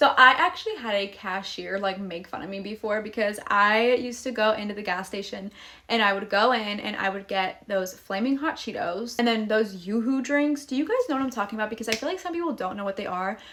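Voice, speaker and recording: Bubbly and fairly high-pitched, a woman talks at a fairly quick pace with hardly any pauses. Noticeable background noise sits behind her. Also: ordinary pitch variation. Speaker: vlogger, young mother. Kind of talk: casual Q&A vlog.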